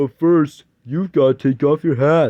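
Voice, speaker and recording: A man's put-on character voice, fairly high in pitch, with fairly even intonation at a moderate pace. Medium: read story. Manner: kindly, hesitant.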